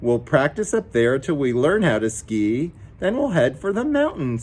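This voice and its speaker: A man does a put-on character voice at a fairly high pitch and a moderate pace. Light background noise can be heard. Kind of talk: bedtime story. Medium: read story.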